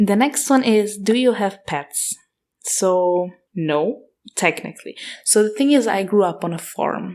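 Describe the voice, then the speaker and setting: The speaker has an Austrian accent and talks at a fairly slow pace with lively intonation. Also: woman. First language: German (Austrian dialect). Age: 20s. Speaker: podcast host. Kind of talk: casual Q&A monologue. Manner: casual, hesitant.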